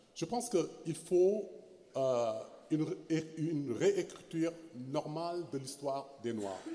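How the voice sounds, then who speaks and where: Man with a dark, mellow tone and fairly high pitch, speaking very slowly with long, frequent pauses and lively intonation. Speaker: historian. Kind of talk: panel discussion. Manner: halting, many fillers and repetitions.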